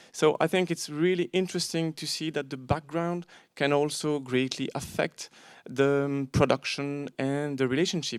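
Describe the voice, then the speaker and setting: A man with a non-native accent speaks at a fairly slow pace, his fairly high pitch showing ordinary variation, in a dry, close sound with no echo on a very clean recording with a silent background. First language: not English. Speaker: panel moderator, bookseller. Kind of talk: panel discussion introduction. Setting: auditorium with audience. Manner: hesitant, with fillers.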